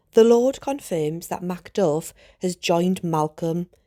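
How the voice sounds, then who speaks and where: In a Geordie accent, a woman speaks at a very slow pace with a dark, mellow tone and fairly low pitch. Her pitch variation is ordinary, and the recording is very clean with a silent background. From Northeast England. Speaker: teacher. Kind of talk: educational lesson narration.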